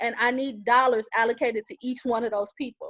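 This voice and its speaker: The speaker is a woman with a high pitch. The sound is dry and close, with no echo. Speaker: community panelist. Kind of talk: panel discussion. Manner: fast.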